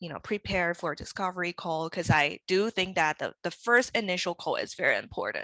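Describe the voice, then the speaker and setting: At a fairly quick pace with hardly any pauses, a woman of medium pitch talks in a bright, sharp tone, the sound dry and close with no echo over a quiet background. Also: ordinary pitch variation. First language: not English. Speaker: brand and web designer, studio owner. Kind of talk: interview.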